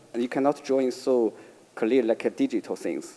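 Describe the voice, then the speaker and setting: A man with a Chinese accent, medium in pitch, with a dark, mellow tone. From China, Beijing. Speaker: artist. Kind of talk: panel discussion. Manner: halting.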